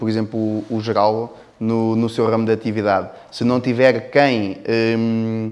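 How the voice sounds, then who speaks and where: With a European Portuguese accent, a man speaks at a fairly slow pace in a monotone, flat intonation. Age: 30s. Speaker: business owner. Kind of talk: interview. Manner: halting.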